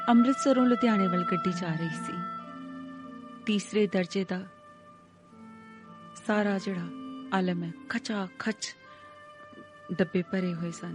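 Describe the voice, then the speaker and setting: Music plays behind a woman's voice. Her pitch is medium, with ordinary pitch variation. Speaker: voice-over artist. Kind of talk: audiobook story narration.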